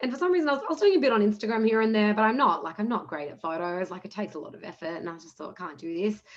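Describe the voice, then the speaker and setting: A woman with an Australian accent at a very fast pace, fairly high in pitch, with very wide pitch swings and big swings in loudness over noticeable background noise. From Australia, Punjabi-speaking Indian family. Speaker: entrepreneurship program manager, panelist. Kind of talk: panel discussion. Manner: fast, casual with fillers.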